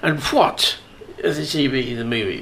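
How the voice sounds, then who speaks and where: The speaker is a man with a British accent. He keeps to a moderate pace. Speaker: radio host. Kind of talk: casual chat. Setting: studio. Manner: jokey, banter.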